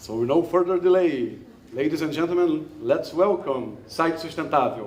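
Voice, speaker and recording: A man with a Brazilian Portuguese accent speaks at a high pitch and moderate pace, with ordinary pitch variation and audible room echo. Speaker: investor and startup mentor. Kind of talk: event speech introducing a startup. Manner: halting, many fillers.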